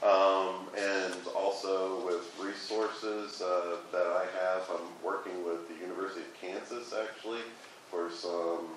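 Flat, monotone delivery from a man with a fairly low voice, audible room echo and light background noise. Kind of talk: meeting report. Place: meeting room. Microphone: camera far.

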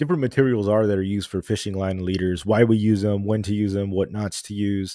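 A man's fairly low voice has a dark, mellow tone at a fairly quick pace. The sound is dry with no echo, over a quiet background. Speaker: podcast host. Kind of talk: casual livestream podcast intro. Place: home room. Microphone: studio mic.

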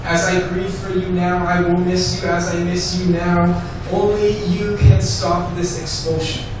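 A man speaks at a fairly slow pace with a high pitch and fairly even intonation. Strong room echo and noticeable background noise surround him. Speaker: rabbi. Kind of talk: spoken word poetry performance. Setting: live performance venue. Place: cafe.

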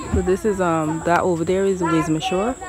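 A woman at a fairly low pitch, monotone and flat, in a dry sound with no echo over noticeable background noise. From Guyana. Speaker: vlogger. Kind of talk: casual vlog talk. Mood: relaxed, curious. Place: waterside. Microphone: phone near.

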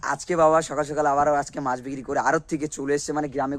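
The speaker is a man with a fairly high pitch. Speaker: vlogger. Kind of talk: casual vlog narration.

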